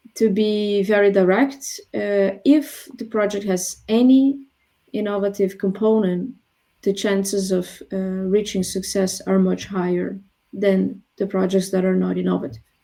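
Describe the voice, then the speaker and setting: The voice has a dark, mellow tone and a non-native accent. Delivery is fairly slow with fairly even intonation. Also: woman. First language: not English. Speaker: professor. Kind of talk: webinar interview. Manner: hesitant, many fillers.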